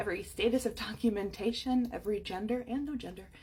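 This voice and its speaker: This is a woman speaking. Her pace is very fast. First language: German. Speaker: history content creator. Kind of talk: direct-to-camera commentary. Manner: casual, frequent fillers like 'right?'.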